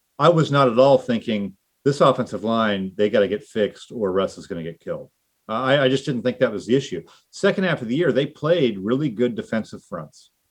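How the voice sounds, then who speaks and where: A plain, everyday voice moves at a fairly quick pace, its intonation lively. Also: man, medium pitch for a man. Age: 50s. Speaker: football journalist. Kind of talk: casual chat.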